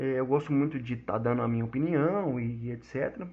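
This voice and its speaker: A man talks with ordinary pitch variation. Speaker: podcast host and gaming news writer. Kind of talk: casual monologue podcast. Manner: halting, many fillers and repetitions.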